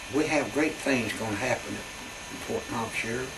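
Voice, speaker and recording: A man with an Appalachian accent talks at a fairly slow pace with lively intonation, over noticeable background noise and audible room echo. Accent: Appalachian Southern US. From Southwest Virginia (Wise). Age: 80s+. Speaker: army veteran. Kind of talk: oral history interview storytelling.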